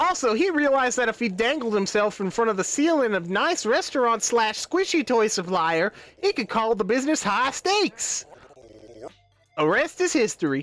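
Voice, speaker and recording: Putting on a character voice, a woman speaks in a Southern accent at a fairly high pitch. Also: moderate pace. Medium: virtual streamer.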